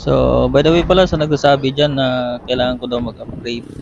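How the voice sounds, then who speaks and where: Noticeable background noise sits behind a man speaking at a medium pitch and a moderate pace. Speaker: moto vlogger. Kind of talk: casual vlog voice-over. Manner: halting.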